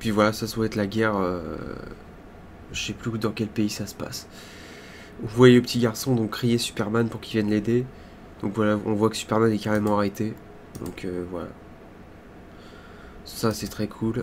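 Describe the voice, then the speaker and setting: A man at a moderate pace in a monotone, flat intonation, with long, frequent pauses. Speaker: YouTuber reacting to trailers. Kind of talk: trailer reaction commentary. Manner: halting, filler-heavy; not shouting.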